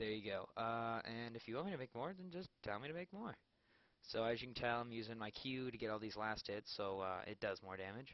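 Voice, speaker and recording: The delivery moves at a fairly quick pace. Its intonation is lively. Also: man, medium pitch for a man. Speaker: gaming video creator. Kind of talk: gameplay commentary. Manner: halting, many fillers.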